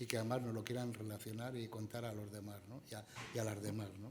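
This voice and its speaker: A man at a medium pitch and fairly quick pace, flat and monotone in intonation, with noticeable background noise and audible room echo. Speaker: event moderator introducing a speaker. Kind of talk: speaker introduction at a conference. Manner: soft-spoken.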